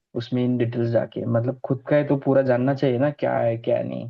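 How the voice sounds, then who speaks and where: Monotone, flat intonation marks a man's voice pitched at a medium level. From Maharashtra, India. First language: Marathi (speaking Hindi). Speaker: numerology student. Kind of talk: student presentation feedback chat.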